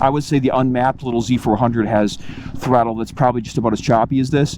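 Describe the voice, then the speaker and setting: Against noticeable background noise, a medium-pitched man talks very fast with fairly even intonation. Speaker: motorcycle reviewer. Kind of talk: first-ride review while riding. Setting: on a motorcycle outdoors. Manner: loud, raised over exhaust; casual, with fillers.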